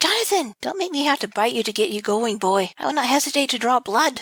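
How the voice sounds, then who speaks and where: Using a put-on character voice, a woman speaks at a very fast pace. Her voice is squeaky and high-pitched. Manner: firm, motherly, threatening.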